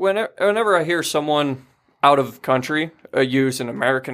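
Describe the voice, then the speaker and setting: Recorded very cleanly against a silent background, a man with a plain, everyday voice speaks with a fairly high pitch and lively intonation. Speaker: bassist in a band. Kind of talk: casual banter, comedic podcast chat.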